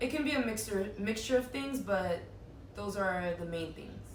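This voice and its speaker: A woman with an American accent talks at a fairly slow pace with lively intonation. Noticeable background noise and audible room echo are present. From US South, Miami, Florida (Little Haiti). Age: 30s. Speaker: birthday interviewee, content creator. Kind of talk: casual interview.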